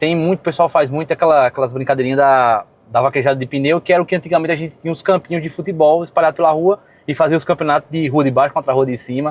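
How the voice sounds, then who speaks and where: Talking at a very fast pace, a man varies his pitch in an ordinary way. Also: dry, close sound with no echo. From Brazil, Rio Grande do Norte, Seridó region. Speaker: local resident. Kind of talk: documentary interview testimony.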